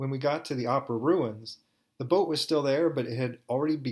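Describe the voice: Against a quiet background, the plain reading aloud carries ordinary pitch variation.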